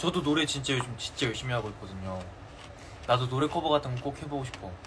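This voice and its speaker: Amid noticeable background noise, a man at a medium pitch with ordinary pitch variation talks very fast but leaves long, frequent pauses. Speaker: K-pop idol. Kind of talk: casual livestream chat with fans. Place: home room. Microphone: phone near.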